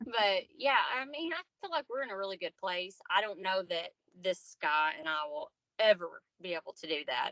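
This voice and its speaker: A woman with a Southern accent, very wide pitch swings, and a moderate pace. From US South, Arkansas. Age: 30s. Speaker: podcast guest, single mother. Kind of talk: casual interview chat.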